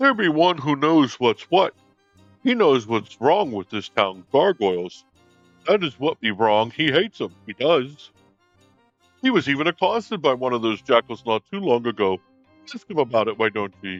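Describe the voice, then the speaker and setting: A man puts on a character voice at a medium pitch with very wide pitch swings. Faint music plays in the background. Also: moderate pace. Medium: actual play. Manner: folksy, chatty.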